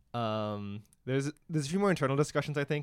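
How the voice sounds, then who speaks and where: With a normal speaking voice, a man speaks at medium pitch and a fairly quick pace with ordinary pitch variation, on a very clean recording with a silent background. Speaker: engineering student podcast co-host. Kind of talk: casual chat.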